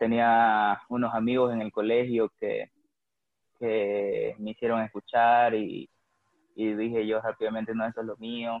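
A man speaks at medium pitch in a monotone, flat intonation. His pace is fairly slow. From Bolivia, Santa Cruz. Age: 20s. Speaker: rock musician. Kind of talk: casual interview chat.

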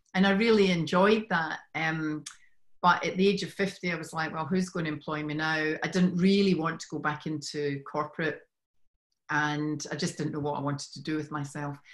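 A woman's very deep, low voice with fairly even intonation, on a very clean recording with a silent background. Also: moderate pace. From Scotland. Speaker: women's business coach. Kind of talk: casual interview. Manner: warm, friendly, laughs often.

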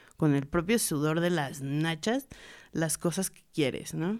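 Very clean, with a silent background, this recording captures a woman with a plain, everyday voice. She speaks at a moderate pace and a fairly low pitch, using lively intonation. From Mexico, raised in Puebla. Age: 20s. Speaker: visual artist and tattoo artist. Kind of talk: casual chat. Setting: studio.

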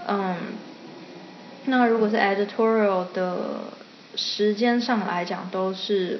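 Over noticeable background noise and audible room echo, a woman with a medium-pitched voice speaks at a fairly slow pace with fairly even intonation. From Taiwan. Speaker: illustrator. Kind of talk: interview. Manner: frequent English code-switching.

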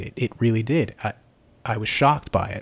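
In a dry, close sound with no echo, a man speaks at a fairly quick pace with fairly even intonation. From Long Island, New York. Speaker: traveler sharing his story. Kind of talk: casual interview. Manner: hesitant, many fillers.

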